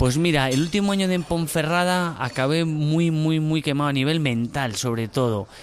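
A man is speaking. His pitch rises and falls in an ordinary way. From Spain (Burgos). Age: 30s. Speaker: former footballer, civil servant. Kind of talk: casual interview. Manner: halting, with repetitions.

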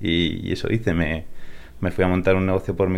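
This man's pitch is very deep and low. He talks at a fairly quick pace. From Spain (born in California, raised in Spain from age 8). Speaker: tech startup co-founder. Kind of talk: interview. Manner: repeats words, hesitant.

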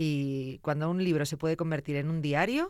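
Speaking at a moderate pace, a woman with a very deep, low pitch keeps her intonation fairly even. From Zamora, Spain. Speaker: radio and podcast host. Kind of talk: interview.

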